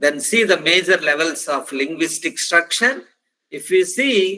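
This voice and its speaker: A man speaks with a high pitch and a bright, sharp tone. His pitch variation is ordinary. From India, Andhra Pradesh. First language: Telugu. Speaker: professor. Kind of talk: lecture. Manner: halting, with frequent fillers.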